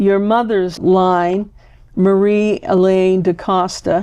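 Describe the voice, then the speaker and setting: A woman in a Maine accent, medium in pitch, at a very slow pace. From Maine, Boothbay Harbor. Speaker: genealogy show host. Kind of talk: interview.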